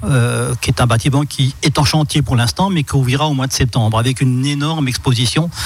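Amid noticeable background noise, a man talks at a moderate pace with medium pitch and ordinary pitch variation. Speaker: local councillor for culture, festival organizer. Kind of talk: radio interview. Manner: talkative, explanatory, a bit hesitant.

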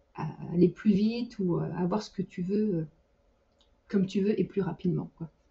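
Somewhat breathy, a woman speaks with fairly even intonation. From France. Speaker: 3D artist and team lead. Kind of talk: casual interview. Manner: hesitant, frequent repetitions; laughs often.

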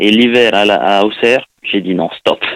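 A man with a fairly low pitch, fairly even intonation and a very slow pace. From Tahiti. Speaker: former professional footballer. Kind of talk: interview. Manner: halting.

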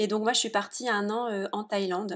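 In a very clean recording with a silent background, a woman speaks at a medium pitch. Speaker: entrepreneur. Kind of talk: interview. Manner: animated.

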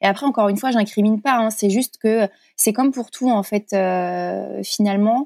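A moderate pace and very even loudness, in a very clean recording with a silent background and a dry, close sound with no echo. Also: woman. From France, Corrèze. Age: 30s. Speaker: blogger and content creator, former nurse. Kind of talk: casual interview. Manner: hesitant, many fillers.

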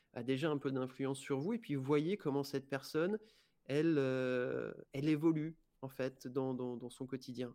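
A man's voice is dark and mellow, with a fairly high pitch. The recording is very clean, with a silent background. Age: 30s. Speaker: life coach. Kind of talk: interview. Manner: halting.

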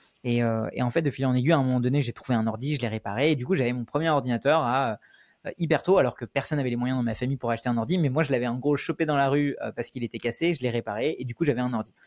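Recorded very cleanly with a silent background and a dry, close sound with no echo, a man at medium pitch talks at a very fast pace with ordinary pitch variation. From Paris suburbs, France (born in India). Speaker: YouTuber and no-code trainer. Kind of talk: interview. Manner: hesitant, many fillers.

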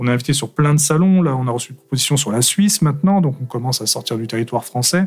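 In a plain, everyday voice, a man talks at a medium pitch with ordinary pitch variation. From France, Aveyron then Paris. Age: 30s. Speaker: manga author. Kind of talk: casual interview. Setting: studio.

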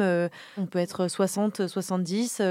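A woman with an ordinary speaking voice talks at a medium pitch with fairly even intonation, in a dry, close sound with no echo. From Normandy, France. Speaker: podcast host, community manager. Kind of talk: casual chat.

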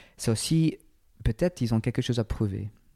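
With an English accent, a man's dark, mellow tone comes through in a dry, close sound with no echo. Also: very clean recording, silent background. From England. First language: English (speaking French). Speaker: personal trainer and entrepreneur. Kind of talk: interview conversation. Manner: halting.

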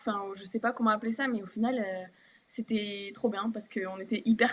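A woman speaks with fairly high pitch and fairly even intonation at a moderate pace, over noticeable background noise. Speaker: professional basketball player. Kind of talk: casual interview. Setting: live stream.

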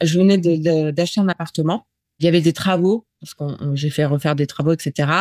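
At a moderate pace, a woman speaks in a fairly low pitch with fairly even intonation, a dark, mellow tone and big swings in loudness. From northern Paris region, France. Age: 40s. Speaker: interviewee sharing abuse story. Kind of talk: testimony. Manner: halting, many hesitations.

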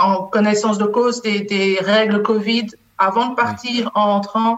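At a fairly slow pace, a woman with a slight Belgian accent speaks in a monotone, flat intonation. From Belgium. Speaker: HR business partner. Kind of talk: interview.

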